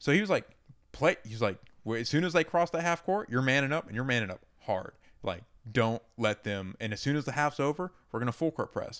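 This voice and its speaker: On a very clean recording with a silent background, a man with an American accent speaks at a medium pitch. His pace is fairly quick, with very wide pitch swings. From US South, Georgia (outside Atlanta). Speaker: podcast co-host. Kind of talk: casual chat.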